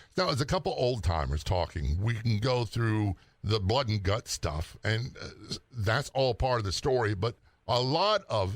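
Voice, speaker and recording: Lively intonation from a man with a fairly low, somewhat breathy voice at a moderate pace, on a very clean recording with a silent background. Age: 60s. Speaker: retired police officer and radio host. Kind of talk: casual chat.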